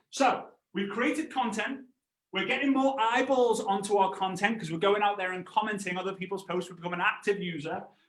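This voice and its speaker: Speaking at a fairly quick pace, a man uses a high pitch. His tone is animated, with lively intonation. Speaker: network marketing trainer. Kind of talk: live online training presentation. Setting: livestream with chat. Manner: fast.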